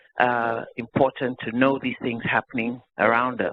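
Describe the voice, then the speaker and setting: At a moderate pace, a man with a medium pitch speaks with a non-native accent. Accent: noticeable foreign. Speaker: physician, pulmonologist. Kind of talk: audience comment at grand rounds. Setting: hospital grand rounds with audience.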